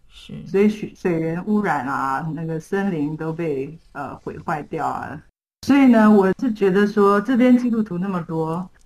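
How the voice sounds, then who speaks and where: In an unremarkable speaking voice, the speaker goes at a fairly slow pace. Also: woman, fairly low pitch for a woman, lively intonation. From Taiwan. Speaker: missionary. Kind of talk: interview.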